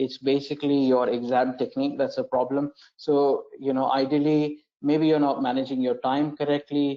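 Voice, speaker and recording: A man speaks in a monotone with flat intonation. His pitch sits fairly high for a man. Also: moderate pace. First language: not English. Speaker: education manager hosting an exam webinar. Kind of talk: webinar Q&A. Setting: online broadcast. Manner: hesitant, many fillers and repetitions.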